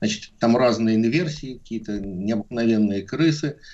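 A man with a plain, everyday voice, medium-pitched, at a moderate pace with lively intonation. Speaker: epidemiologist. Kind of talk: radio interview.

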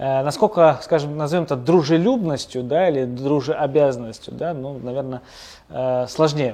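Ordinary pitch variation in an unremarkable speaking voice, at a moderate pace. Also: man, fairly high pitch for a man. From Pyatigorsk, North Caucasus, Russia. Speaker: small business co-founder. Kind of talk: interview. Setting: construction site.

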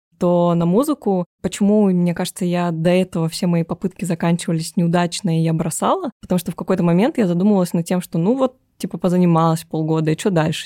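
On a very clean recording with a silent background and a dry, close sound with no echo, a woman talks at a very fast pace, her fairly low voice dark and mellow and her loudness very even. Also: ordinary pitch variation. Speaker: IT analyst and online teacher. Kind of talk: casual interview chat.

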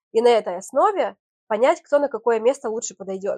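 At a very fast pace, a woman talks in a dark, mellow tone, the sound dry and close with no echo. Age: 30s. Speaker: TV presenter and event host. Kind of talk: interview.

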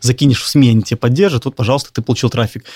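A somewhat breathy man's voice at medium pitch with ordinary pitch variation, dry and close with no echo. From Belarus, Minsk. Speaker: clothing brand founder. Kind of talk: interview.

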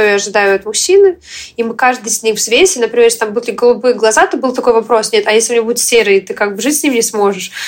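Noticeable background noise sits behind a woman speaking at a very fast pace. Her voice is fairly high, with ordinary pitch variation. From Western Ukraine. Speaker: entrepreneur and blogger. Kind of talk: interview. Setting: video call. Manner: energetic.

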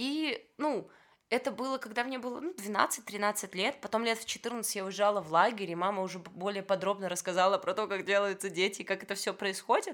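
A woman talks at a moderate pace in an unremarkable speaking voice. Her pitch is medium, with ordinary variation. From Belarus, Vitebsk. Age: 20s. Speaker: former medical student turned photographer. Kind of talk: casual chat.

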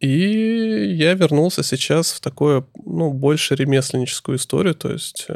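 A man with a fairly high voice talks at a fairly slow pace, his intonation lively and his speech hardly broken by pauses. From Russia, Saratov region. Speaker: craftsman and small business owner. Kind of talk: casual chat.

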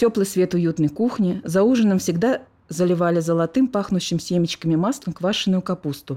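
A woman speaks at a moderate pace with a dark, mellow tone, medium pitch and ordinary pitch variation. Her loudness stays very even on a very clean recording with a silent background. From Moscow.

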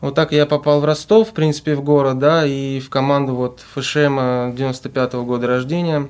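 A man talks at a moderate pace in an unremarkable speaking voice. His pitch is medium, with fairly even intonation. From Russia, Volgograd. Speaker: student football team captain. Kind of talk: interview.

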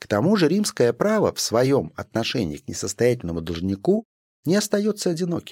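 A man at a moderate pace with very wide pitch swings, in a dry, close sound with no echo on a very clean recording with a silent background. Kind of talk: audiobook reading of a scholarly text. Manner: formal, measured, even-paced.

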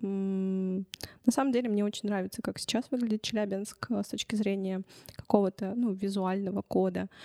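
A woman talks at a moderate pace in a medium pitch with ordinary pitch variation and a dark, mellow tone. The sound is dry and close, with no echo. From Russia, Chelyabinsk. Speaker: journalism lecturer and youth media project leader. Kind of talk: interview. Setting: recording studio.

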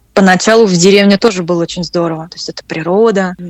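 A woman speaks very fast with fairly even intonation, the sound dry and close with no echo. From Russia. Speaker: French teacher. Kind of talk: interview conversation. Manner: hesitant, with repetitions.

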